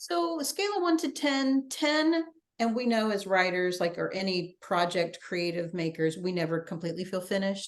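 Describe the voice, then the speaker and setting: An ordinary speaking voice, a woman's at medium pitch, moves at a moderate pace with lively intonation. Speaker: interviewer and writing coach. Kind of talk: interview questions. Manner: casual, friendly.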